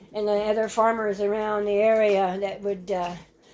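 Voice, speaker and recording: With audible room echo, a woman speaks at a fairly high pitch. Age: 80s+. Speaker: farmer. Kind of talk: casual vlog walkthrough. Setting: greenhouse. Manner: halting.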